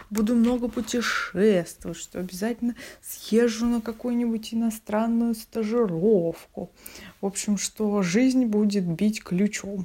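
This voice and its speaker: A woman speaks at a very slow pace with a fairly high pitch. Her intonation stays fairly even. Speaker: theatre designer. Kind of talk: recorded monologue answering questions.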